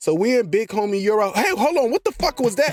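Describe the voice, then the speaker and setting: A man delivers his words at a fairly quick pace while music plays in the background. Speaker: anime content creator. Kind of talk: comedic anime plot recap voiceover. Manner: chaotic, high-energy, joking.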